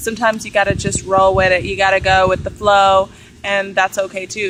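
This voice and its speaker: Noticeable background noise sits behind the voice. A woman talks very fast. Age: 20s. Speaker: vlogger. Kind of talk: personal vlog monologue. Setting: outdoors. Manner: animated.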